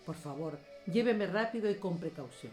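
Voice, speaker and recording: A woman at medium pitch with lively intonation and a moderate pace, with music in the background. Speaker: writer who recites her own work. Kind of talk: narrative story reading.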